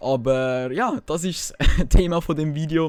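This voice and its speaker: A man speaks with a Swiss accent. His pitch varies in an ordinary way. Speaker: gaming YouTuber. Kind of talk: casual gaming commentary.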